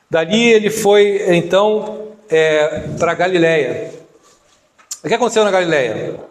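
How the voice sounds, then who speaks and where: A man speaks at a very slow pace in a high voice. The room echo is audible. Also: long, frequent pauses, very even loudness. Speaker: deacon preacher. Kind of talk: sermon.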